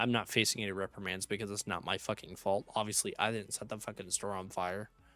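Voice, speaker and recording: A raspy, put-on character voice rattles along at a very fast pace in monotone, flat intonation. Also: man, fairly low pitch for a man. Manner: indignant, venting.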